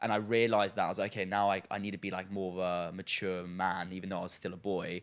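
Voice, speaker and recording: A man's very deep, low voice racing at a very fast pace, monotone and flat, with hardly any pauses, in a very clean recording with a silent background. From France. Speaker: reality TV personality. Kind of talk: casual chat. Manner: laughs often.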